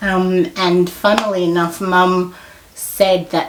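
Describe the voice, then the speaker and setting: The speaker has an Australian accent. Noticeable background noise runs underneath. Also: woman. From Australia, Melbourne. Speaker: podcast guest. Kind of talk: casual chat.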